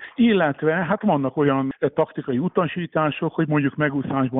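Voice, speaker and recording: A man speaks at a fairly quick pace with a normal speaking voice. His pitch is fairly high. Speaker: former water polo champion and coach. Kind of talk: radio interview.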